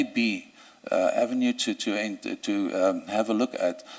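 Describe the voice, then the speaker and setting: Noticeable background noise sits behind a man speaking with a South African accent. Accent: Afrikaans South African English. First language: Afrikaans. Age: 60s. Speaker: judicial candidate, senior advocate. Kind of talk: job interview. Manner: halting, many fillers and repetitions.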